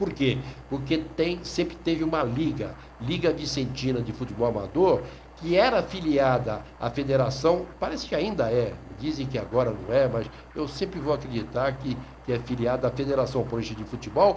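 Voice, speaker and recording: At a moderate pace, a man speaks at a medium pitch with ordinary pitch variation, and the room echo is audible. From Brazil, São Vicente (São Paulo coast). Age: 60s. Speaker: sports journalist. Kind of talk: radio talk monologue. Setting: online radio.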